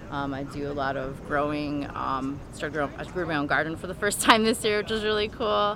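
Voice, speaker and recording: Talking at a fairly quick pace with hardly any pauses, the woman has a very deep, low pitch and lively intonation, with audible room echo. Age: 40s. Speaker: cancer survivor and caregiver. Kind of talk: personal testimony.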